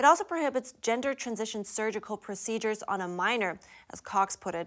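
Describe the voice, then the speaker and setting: In a very clean recording with a silent background, a plain, everyday voice speaks at a moderate pace with ordinary pitch variation. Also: woman. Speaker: news anchor. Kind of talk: news reading. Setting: studio.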